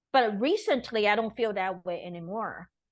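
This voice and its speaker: With a Taiwanese accent, a woman talks in a fairly high voice and lively intonation over a quiet background. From Taiwan, Taipei. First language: Mandarin Chinese. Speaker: teacher and performer. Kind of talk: interview.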